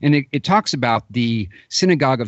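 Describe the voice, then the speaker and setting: A man talks at a moderate pace in a normal speaking voice, his pitch medium. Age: 40s. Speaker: radio host. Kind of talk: interview.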